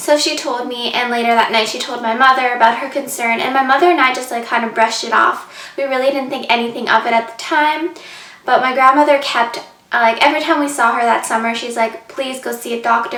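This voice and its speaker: A woman's high-pitched, very fast speech with fairly even intonation, audible room echo and noticeable background noise. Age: 20s. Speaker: vlogger. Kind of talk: personal story vlog. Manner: casual, many fillers.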